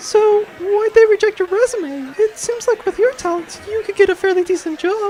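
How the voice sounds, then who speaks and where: A squeaky put-on character voice at an extremely high pitch and moderate pace, over clear background noise. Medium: audio drama. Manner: dry, teasing.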